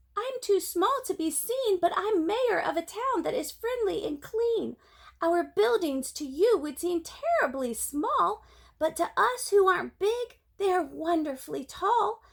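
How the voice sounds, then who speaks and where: Using a put-on character voice, a woman speaks at an extremely high pitch and a fairly slow pace, her pitch swinging very widely. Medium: read story.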